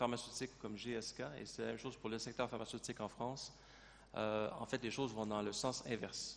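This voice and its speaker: The speaker has a Canadian French accent and a fairly quick pace. The intonation stays monotone and flat. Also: man. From Canada. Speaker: company president. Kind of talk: panel discussion.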